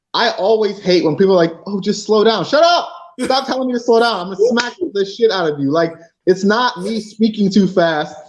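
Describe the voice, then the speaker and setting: A man with an American accent, lively intonation and a moderate pace. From Cleveland, Ohio (east side), US Midwest. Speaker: professional wrestler. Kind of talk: casual interview chat.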